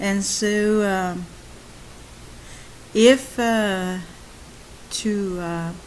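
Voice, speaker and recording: A woman's medium-pitched voice with fairly even intonation and audible room echo. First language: French. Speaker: YouTuber on codependency and narcissistic abuse. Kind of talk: monologue talk. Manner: halting.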